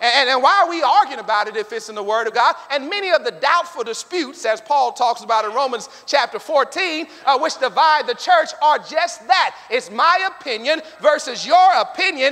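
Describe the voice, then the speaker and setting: With an American accent and an extremely high pitch, a man uses a raised, projected voice, an animated tone and lively intonation at a moderate pace with hardly any pauses. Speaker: preacher. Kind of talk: sermon. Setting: church; stage with audience. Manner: call-and-response. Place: church. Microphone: lapel.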